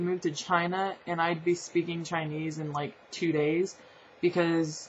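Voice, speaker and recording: A woman with a slight Southern US accent, somewhat breathy and at a fairly slow pace. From Southern California. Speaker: vlogger. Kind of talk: casual vlog.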